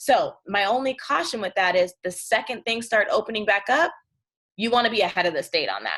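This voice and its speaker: A woman's fairly high, bright, sharp voice at a fairly quick pace with ordinary pitch variation. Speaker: presenter on unemployment insurance. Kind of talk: informational workshop presentation. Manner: fast.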